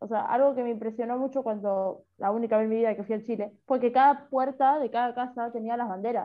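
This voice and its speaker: Speaking very fast with hardly any pauses, a woman with a Rioplatense accent keeps a fairly high pitch and fairly even intonation. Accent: Argentine Rioplatense Spanish. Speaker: podcast co-host. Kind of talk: casual chat.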